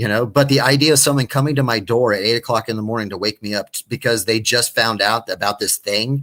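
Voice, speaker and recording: With an American accent, a man talks at a very fast pace with hardly any pauses, his medium-pitched voice bright and sharp in tone. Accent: Texan, usually held back. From West Texas. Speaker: stand-up comedian. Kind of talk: casual chat. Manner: animated; halting.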